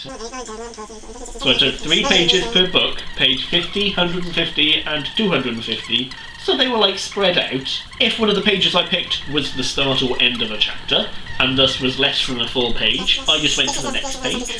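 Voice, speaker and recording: A man's high voice with very wide pitch swings at a moderate pace, hardly any pauses, audible room echo and noticeable background noise. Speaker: booktuber. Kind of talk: casual vlog.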